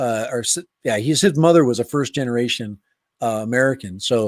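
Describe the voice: The delivery moves at a fairly quick pace with ordinary pitch variation. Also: man, medium pitch for a man.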